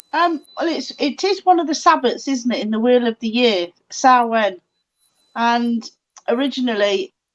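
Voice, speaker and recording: A woman with a high pitch speaks loudly at a moderate pace. Her intonation is lively, and the background is quiet. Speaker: paranormal show co-host. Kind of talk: casual chat.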